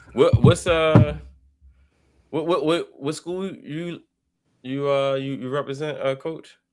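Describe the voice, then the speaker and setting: Very slow, fairly even delivery from a man with a Baltimore accent and a fairly high pitch, with long, frequent pauses and music in the background. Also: big swings in loudness. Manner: halting, hesitant with repeated fillers.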